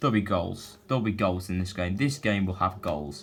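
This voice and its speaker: Quietly and at a moderate pace, a man speaks in a fairly low pitch with ordinary pitch variation. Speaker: football predictions youtuber. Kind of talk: casual predictions monologue. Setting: at home.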